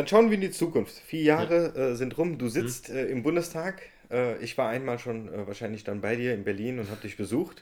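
A man's unremarkable speaking voice at medium pitch, with lively intonation and a moderate pace. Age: 20s. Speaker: podcast host and political candidate. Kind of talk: casual interview.

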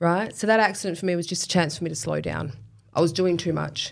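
Speaking very fast with an Australian accent, a woman uses a fairly low pitch, vocal fry and fairly even intonation. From Western Australia, Kwinana area. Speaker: professional boxer and personal trainer. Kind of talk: casual interview.

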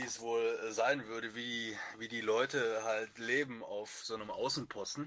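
Here a man speaks with a Lower Rhine accent. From Lower Rhine region, Germany. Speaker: wiki maintainer on a writing team. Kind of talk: casual chat.

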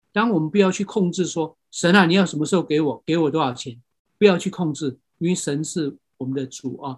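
In a very clean recording with a silent background, a man with a fairly high pitch and ordinary pitch variation talks at a fairly quick pace. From Myanmar. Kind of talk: lecture. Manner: halting.

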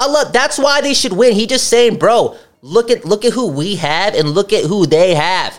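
The delivery is animated in tone, with lively intonation and a moderate pace. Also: man, high pitch for a man. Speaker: podcast host. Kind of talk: casual chat.

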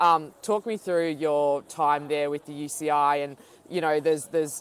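With an Australian accent, a woman speaks at a very deep, low pitch and with fairly even intonation. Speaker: podcast host and professional cyclist. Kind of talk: interview.

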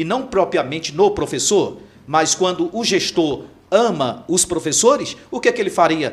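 His intonation rises and falls in a lively way. He talks at a fairly slow pace. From Imperatriz, Maranhão, Brazil. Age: 50s. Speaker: pastor and mayoral pre-candidate. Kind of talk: political interview.

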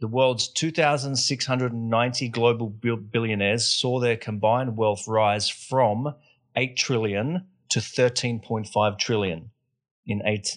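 Against a quiet background, a man with a plain, everyday voice at a medium pitch speaks at a fairly slow pace with fairly even intonation. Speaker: podcast host. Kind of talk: casual interview chat.

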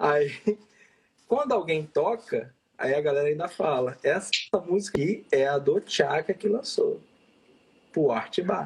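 A man with a high pitch and lively intonation speaks at a fairly slow pace with long, frequent pauses and very even loudness. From Vitória, Espírito Santo, Brazil. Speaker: techno DJ. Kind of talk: interview.

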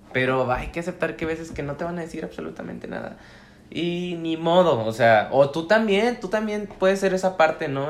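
A normal speaking voice moves at a moderate pace and carries lively intonation. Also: man. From Mexico, La Laguna region (Coahuila). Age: 20s. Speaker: law student and mental health activist. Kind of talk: casual chat.

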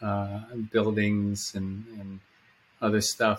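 A man talks at a very slow pace. His voice is fairly low in pitch with a bright, sharp tone. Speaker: podcast host. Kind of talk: interview conversation. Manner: halting.

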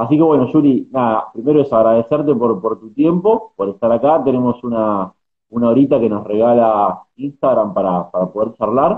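A man with an ordinary speaking voice talks at a moderate pace and medium pitch, using ordinary pitch variation. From Argentina. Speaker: journalist and podcast host. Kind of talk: interview.

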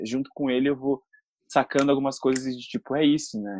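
Dry and close with no echo, this is a man with a plain, everyday voice. He speaks at medium pitch and a fairly quick pace. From Brazil, São Paulo city. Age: 20s. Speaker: actor and influencer. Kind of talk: casual interview.

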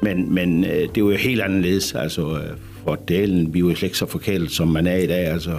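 With music in the background, a man speaks at a moderate pace in a very deep, low pitch, with very even loudness and fairly even intonation. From Denmark, rural Jutland. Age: 60s. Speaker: bathhouse manager. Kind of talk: radio interview. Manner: hesitant, many fillers.

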